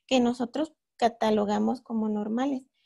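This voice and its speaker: A woman with a dark, mellow tone speaks in a northern Mexican accent. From northern Mexico, Torreón, Coahuila. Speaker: astronomy student lecturer. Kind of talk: lecture. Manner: hesitant, many fillers.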